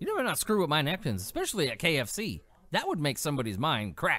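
On a very clean recording with a silent background, a man talks with an American accent. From California. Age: 30s. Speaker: podcast host and heavy metal musician. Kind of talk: casual solo commentary on news. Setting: home studio with mixer and pop filter. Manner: animated.

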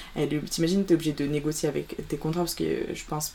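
A woman's very deep, low voice at a very fast pace, with fairly even intonation. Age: young. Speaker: student photographer. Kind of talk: interview. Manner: halting.

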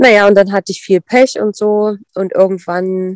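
A woman at medium pitch and a very slow pace, on a very clean recording with a silent background. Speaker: dog sport competitor and breeder. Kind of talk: casual interview.

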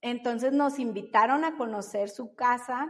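A woman speaks at a fairly slow pace, her intonation fairly even. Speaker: baker and mother. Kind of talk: interview.

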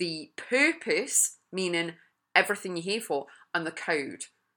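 A woman speaks in an English accent at medium pitch, bright, sharp and energetic in tone. She takes a fairly slow pace on a very clean recording with a silent background. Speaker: podcast host and life coach. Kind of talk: motivational monologue.

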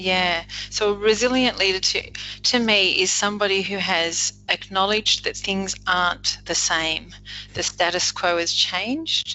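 Music plays in the background as a woman with an Australian accent speaks in a medium pitch. She talks at a fairly slow pace with ordinary pitch variation. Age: 50s. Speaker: leadership coach. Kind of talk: casual interview.

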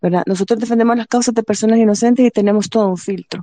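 A woman with a fairly high pitch and a dark, mellow tone is captured with a dry, close sound that has no echo. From El Salvador, Apopa. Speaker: human rights advocate for detainees. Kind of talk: panel discussion.

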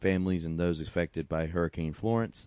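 This man has a very deep, low voice with a dark, mellow tone and fairly even intonation. He talks at a fairly quick pace in a dry, close sound with no echo against a quiet background. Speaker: podcast co-host. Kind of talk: casual banter about sports.

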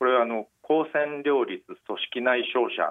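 This is a man with a normal speaking voice, pitched in the medium range. He talks at a moderate pace with ordinary pitch variation. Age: 50s. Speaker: newspaper medical journalist. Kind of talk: interview about personal cancer experience. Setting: phone call.

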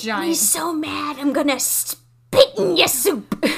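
This put-on character voice is high-pitched and raspy, delivered at a fairly slow pace. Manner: angry, threatening.

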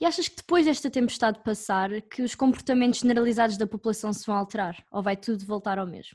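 A woman speaks at a very fast pace with a fairly high pitch and ordinary pitch variation. Her voice is somewhat breathy and swings widely in loudness. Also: hardly any pauses. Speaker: reporter. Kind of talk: scripted narration.

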